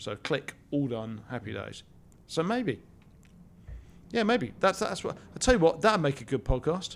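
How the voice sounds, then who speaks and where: A man with a British accent, fairly high in pitch, with vocal fry, very wide pitch swings, a fairly slow pace and long, frequent pauses. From Britain. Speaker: podcast co-host. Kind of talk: casual chat. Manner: halting.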